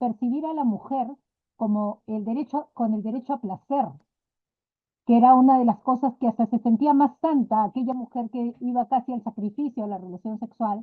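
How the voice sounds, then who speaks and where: Speaking at a moderate pace, a woman uses a normal speaking voice. Her pitch is fairly high, with ordinary variation. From Peru, Lima. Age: 60s. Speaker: physician and sexology student. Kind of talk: class discussion contribution.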